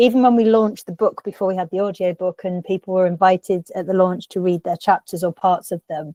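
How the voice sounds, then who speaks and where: A woman's dark, mellow voice with a northern English accent, fairly even intonation and a very fast pace, dry and close with no echo. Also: medium pitch for a woman. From northern England. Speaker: writer and book editor. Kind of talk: interview.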